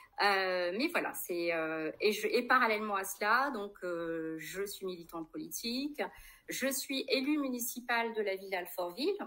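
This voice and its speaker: With a bright, sharp tone and a medium pitch, a woman talks at a fairly slow pace. Her intonation is lively. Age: 40s. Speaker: politician, candidate. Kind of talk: interview. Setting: livestream.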